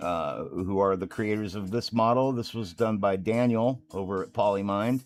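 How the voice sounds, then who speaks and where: Over music in the background, a man speaks at a fairly slow pace with ordinary pitch variation. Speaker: miniature painter and streamer. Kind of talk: live stream tutorial chat. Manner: casual, halting with fillers. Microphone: microphone connection trouble at start.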